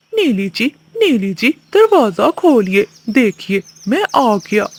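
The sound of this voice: In a cartoonish character voice, a woman talks at a fairly slow pace with a fairly high pitch.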